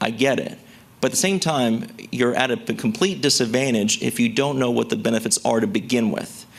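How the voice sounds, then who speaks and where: A man with a medium pitch talks at a fairly quick pace, his intonation lively. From US South, rural West Tennessee. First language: a language other than English (immigrant household). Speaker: Social Security expert. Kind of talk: seminar presentation. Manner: casual, conversational.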